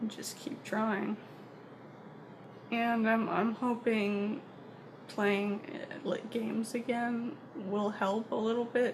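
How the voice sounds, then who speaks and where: A soft-spoken woman's fairly high voice, monotone and flat, very slow with long, frequent pauses, amid noticeable background noise. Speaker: vlogger. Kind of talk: personal vlog monologue. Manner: halting.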